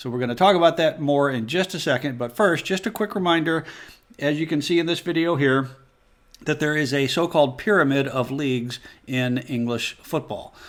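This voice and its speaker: A man with an American accent, an unremarkable speaking voice, fairly high in pitch with ordinary pitch variation. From United States. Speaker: football explainer video host. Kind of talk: explainer tutorial.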